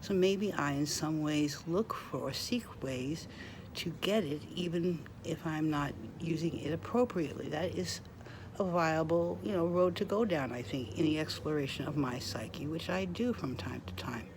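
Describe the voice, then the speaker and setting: A woman's very deep, low voice with very wide pitch swings and audible room echo. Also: moderate pace. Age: 60s. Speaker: vlogger. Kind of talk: casual monologue.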